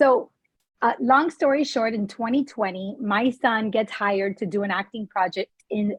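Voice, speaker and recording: A woman talks at a moderate pace in a fairly high, somewhat breathy voice with ordinary pitch variation. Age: 40s. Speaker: interview show host. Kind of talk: interview.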